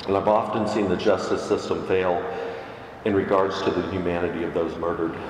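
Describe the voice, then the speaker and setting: A man with a very deep, low pitch talks at a fairly quick pace in a monotone, flat intonation. Noticeable background noise and audible room echo fill the recording. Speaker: Unitarian Universalist minister. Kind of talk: sermon.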